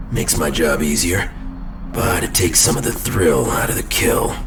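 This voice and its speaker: In a put-on character voice, a man speaks with a very deep, low pitch at a moderate pace. Loud background noise fills the recording. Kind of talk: audio drama performance.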